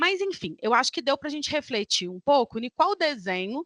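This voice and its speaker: Against a quiet background, a woman's bright, sharp voice makes very wide pitch swings, with a dry, close sound and no echo. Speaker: academic researcher. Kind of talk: conference talk.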